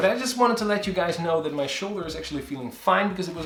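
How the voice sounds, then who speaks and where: Very wide pitch swings mark this man's speech, heard with audible room echo and noticeable background noise. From Netherlands. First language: Dutch. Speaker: kayaking vlogger. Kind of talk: casual vlog update. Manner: conversational with hesitations.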